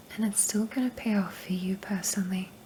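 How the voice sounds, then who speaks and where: Soft-spoken and in a monotone, flat intonation, a woman speaks at a moderate pace over noticeable background noise. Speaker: ASMR creator. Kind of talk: ASMR personal attention affirmations.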